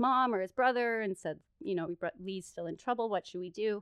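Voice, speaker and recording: A woman in a Canadian accent, fairly high in pitch, with lively intonation and a very fast pace, on a dry, close sound with no echo. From Ontario, Canada. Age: 30s. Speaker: podcast guest. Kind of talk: casual storytelling chat.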